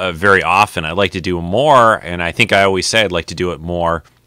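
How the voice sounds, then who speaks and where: A man's bright, sharp voice at a fairly quick pace, with a dry, close sound and no echo. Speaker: podcast host. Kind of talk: live vidcast chat. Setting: home video set, live stream. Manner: hesitant, many fillers.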